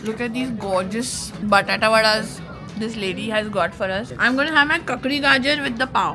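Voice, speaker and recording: Lively intonation at a fairly quick pace, with music in the background. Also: woman, fairly high pitch for a woman. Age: 40s. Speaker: radio jockey. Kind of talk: casual vlog talk to camera.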